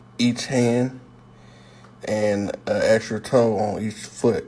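A man's dark, mellow voice at a medium pitch, very slow, with monotone, flat intonation. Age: 30s. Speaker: podcaster. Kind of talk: personal monologue.

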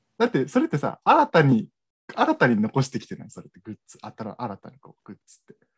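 With big swings in loudness, a man speaks at a very fast pace in a dry, close recording with no echo. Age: 20s. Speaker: podcast co-host. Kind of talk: casual chat.

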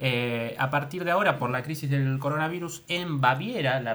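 A man speaks in a Rioplatense accent with a fairly high pitch. His pitch varies in an ordinary way, and there is audible room echo. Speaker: podcast host, improv performer. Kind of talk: improvised comedy chat.

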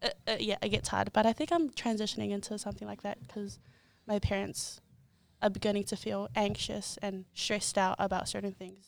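On a very clean recording with a silent background, a woman with a New Zealand accent talks at a fairly quick pace. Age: 20s. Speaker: content creator. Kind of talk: casual chat.

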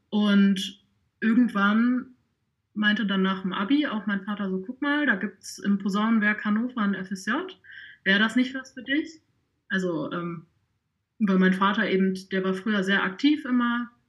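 A somewhat breathy woman at a fairly high pitch and moderate pace, with long, frequent pauses. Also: ordinary pitch variation. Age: 20s. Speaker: trumpet player and social media volunteer. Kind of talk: podcast interview.

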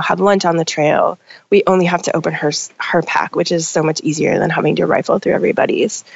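A woman speaks with an American accent. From northern Minnesota. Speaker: food business owner and backpacker. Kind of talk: casual interview.

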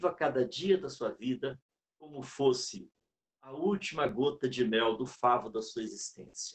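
A man talks with very wide pitch swings. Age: 60s. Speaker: sales speaker and consultant. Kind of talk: talk within a live interview. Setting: live stream.

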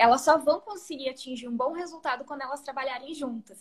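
Speaking fairly quickly, a woman is heard. Her voice sits high in pitch. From Rio Grande do Sul, Brazil. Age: 30s. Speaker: real estate and marketing professional. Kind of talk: casual interview.

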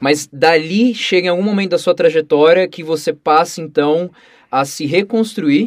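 A man talks at a moderate pace in a fairly high pitch. He has an ordinary speaking voice, with ordinary pitch variation. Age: 20s. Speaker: podcast host. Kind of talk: podcast interview.

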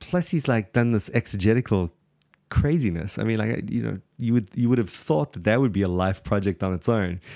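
Speaking at a fairly quick pace, a man uses lively intonation in a fairly low voice with a dark, mellow tone. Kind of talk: casual theological discussion. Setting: remote podcast recording.

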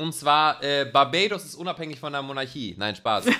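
The voice has a bright, sharp tone at a moderate pace. The recording is very clean with a silent background. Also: man. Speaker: podcast host. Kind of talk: casual chat.

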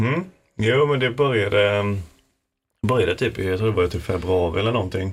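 At a moderate pace, a somewhat breathy man with fairly low pitch and ordinary pitch variation speaks, leaving long, frequent pauses. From Falkenberg, Halland, Sweden. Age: 20s. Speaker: university student and podcaster. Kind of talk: casual chat. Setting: studio.

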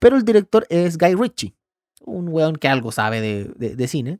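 A man talks fairly quickly with a fairly high pitch that swings very widely, the sound dry and close with no echo. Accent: Chilean. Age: 30s. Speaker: podcast host, filmmaker. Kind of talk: casual solo podcast monologue. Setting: home recording. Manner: animated.

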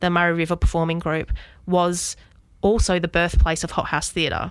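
In an Australian accent, a woman with a fairly low pitch speaks on a very clean recording with a silent background. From Western Australia. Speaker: circus school executive producer. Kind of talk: interview. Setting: studio.

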